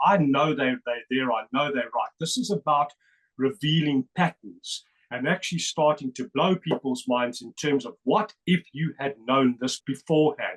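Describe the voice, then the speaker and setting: A man with a South African accent speaks at a fairly high pitch with ordinary pitch variation, in a dry, close sound with no echo. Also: moderate pace. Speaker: numerology researcher. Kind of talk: interview presentation. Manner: animated.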